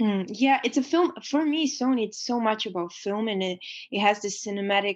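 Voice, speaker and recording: The speaker has a Romanian accent and lively intonation at a moderate pace. The background is quiet. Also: woman. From Romania, Transylvania. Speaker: photographer and actor. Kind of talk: interview. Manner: halting.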